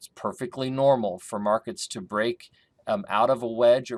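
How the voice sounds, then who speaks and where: A man speaks at a moderate pace with ordinary pitch variation, in a plain, everyday voice. The recording is very clean with a silent background and a dry, close sound with no echo. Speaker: grain market consultant. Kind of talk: market analysis tutorial. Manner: casual with fillers.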